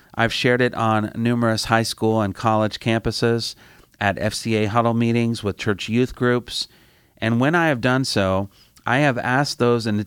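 Speaking at a moderate pace with an American accent, a man at medium pitch is heard in a dry, close sound with no echo. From US Midwest, Indiana. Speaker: campus ministry director. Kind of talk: sermon. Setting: studio.

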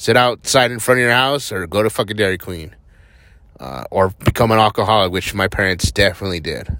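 A man's fairly low-pitched voice with an American accent, a bright, sharp tone, vocal fry, lively intonation and a moderate pace. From New Mexico, US. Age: 30s. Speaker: podcaster. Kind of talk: casual monologue. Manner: rambling, filler-heavy.

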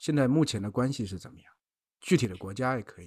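Talking very fast, a man keeps to a medium pitch. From southern China. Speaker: podcast co-host. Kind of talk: casual chat.

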